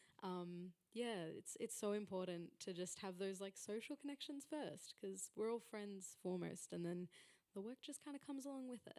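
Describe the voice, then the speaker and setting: A woman with an Australian accent speaks at a moderate pace and medium pitch in a dark, mellow tone with lively intonation, in a dry, close sound with no echo. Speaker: panel moderator. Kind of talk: panel discussion. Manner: loud.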